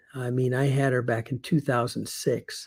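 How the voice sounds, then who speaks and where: Somewhat breathy male speech of medium pitch, dark and mellow in tone, flat and monotone, at a moderate pace. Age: 70s. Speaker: retired teacher turned online marketer. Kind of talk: casual video monologue. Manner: halting, many fillers.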